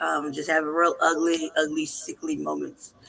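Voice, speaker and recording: Moderate pace with noticeable background noise. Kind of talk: casual chat.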